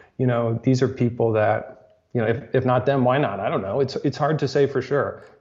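Somewhat breathy and medium in pitch, a man talks at a fairly quick pace with fairly even intonation. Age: 30s. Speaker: tech reporter. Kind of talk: casual chat.

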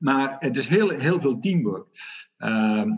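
Pitch swings very widely as a man speaks at a fairly high pitch and a fairly slow pace. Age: 50s. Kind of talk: interview. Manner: hesitant, many fillers.

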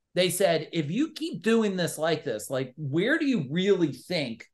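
A man's loud, animated, high-pitched voice, lively in intonation, at a fairly slow pace. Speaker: entrepreneur and business coach. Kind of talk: casual interview.

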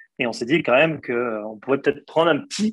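Speaking at a fairly quick pace, a man uses lively intonation with a fairly high pitch. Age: 30s. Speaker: investment firm co-founder. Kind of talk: interview. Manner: halting, many repetitions.

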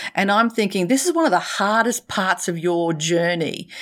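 A woman with an Australian accent speaks at a moderate pace and medium pitch. Her tone is animated and playful, with lively intonation. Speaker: professional speaker and leadership consultant. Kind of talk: casual interview chat. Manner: animated, playful.

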